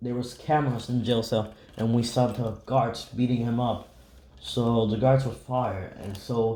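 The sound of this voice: The reading voice is unforced.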